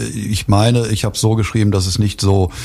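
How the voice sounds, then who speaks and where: This man has a fairly low, somewhat breathy voice. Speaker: book author. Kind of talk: radio interview. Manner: halting, many fillers and restarts.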